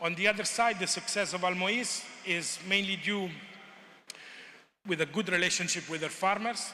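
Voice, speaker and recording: A man with a high voice speaks in a raised, projected way with fairly even intonation and long, frequent pauses. Audible room echo and noticeable background noise fill the recording. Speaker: conference presenter on agricultural research. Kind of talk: conference presentation. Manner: hesitant, many fillers; fast.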